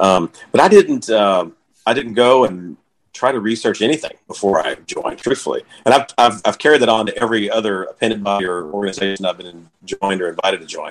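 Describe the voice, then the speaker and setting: Speaking at a fairly quick pace with an American accent, a man has a normal speaking voice at medium pitch with ordinary pitch variation. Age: 30s. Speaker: Masonic grand lodge administrator. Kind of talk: interview.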